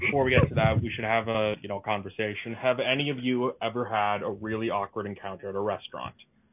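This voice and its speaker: At a fairly quick pace, a man talks at medium pitch with fairly even intonation over noticeable background noise. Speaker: comedy stream host. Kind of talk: casual chat. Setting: video call.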